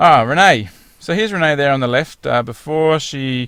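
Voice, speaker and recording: The recording is very clean with a silent background. The speaker has an Australian accent and ordinary pitch variation. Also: man. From rural Victoria, southern Australia. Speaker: fitness program client and spokesperson. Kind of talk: testimonial slideshow presentation. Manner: casual, conversational with filler words.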